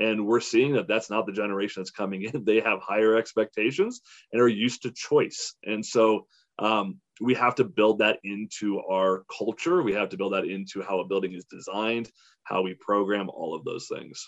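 At a moderate pace and with ordinary pitch variation, a normal speaking voice comes through with a dry, close sound and no echo. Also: man, fairly low pitch for a man. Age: 40s. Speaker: senior living programming director. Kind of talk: panel discussion. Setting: live webinar.

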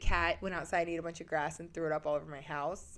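Over a very clean, silent background, a woman with vocal fry and a fairly low pitch speaks in an animated tone at a very fast pace. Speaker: podcast co-host. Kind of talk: casual chat.

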